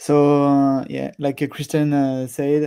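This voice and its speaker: A man with a French accent at a fairly high pitch, fairly slow, with a dark, mellow tone and monotone, flat intonation. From France. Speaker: software product manager. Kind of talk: live stream presentation. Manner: hesitant, many fillers.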